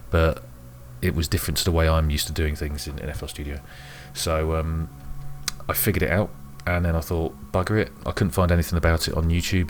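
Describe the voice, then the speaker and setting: Quiet and very deep in pitch, a man talks at a fairly quick pace with fairly even intonation while music plays in the background. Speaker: music hobbyist YouTuber. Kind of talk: tutorial. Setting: home room at night. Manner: halting.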